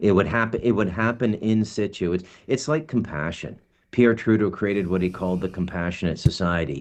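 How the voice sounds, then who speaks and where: In an ordinary speaking voice, a man talks at a fairly quick pace with a fairly low pitch. His pitch variation is ordinary, and the background is quiet. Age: 60s. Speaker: podcast co-host. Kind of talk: casual chat.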